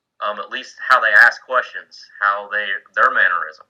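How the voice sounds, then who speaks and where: A man with a Southern US accent. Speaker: Coast Guard senior chief mentoring board candidates. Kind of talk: informal mentoring talk on a video call. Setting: online video meeting from home man cave. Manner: casual, with many fillers and restarts.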